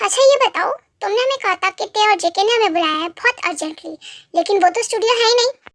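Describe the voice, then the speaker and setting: Putting on a squeaky character voice at an extremely high pitch, a woman races along at a very fast pace with lively intonation. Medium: fan dub. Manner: quiet, earnest, steady.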